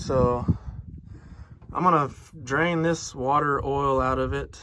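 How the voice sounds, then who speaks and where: Medium pitch from a man in a Southern US accent. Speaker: diesel truck mechanic vlogger. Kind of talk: casual vlog talk. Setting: outdoors at a commercial lot. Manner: animated.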